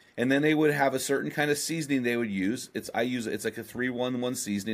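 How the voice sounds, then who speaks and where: An unremarkable speaking voice from a man at medium pitch, ordinary pitch variation, very clean recording with a silent background. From US West Coast, San Luis Obispo, California. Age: 50s. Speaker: author and podcast host. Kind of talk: interview conversation.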